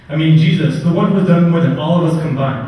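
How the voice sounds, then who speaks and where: Noticeable background noise surrounds a man who speaks fairly quickly at a fairly high pitch. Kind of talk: spoken word poetry performance. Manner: a little nervous.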